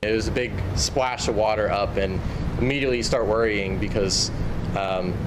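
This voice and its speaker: A man talks over noticeable background noise. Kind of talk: interview answer. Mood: earnest recounting. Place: street.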